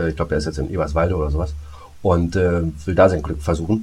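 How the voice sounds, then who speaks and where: Over music in the background, the speech comes very fast with fairly even intonation. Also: man. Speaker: podcast co-host, voice actor. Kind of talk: casual chat.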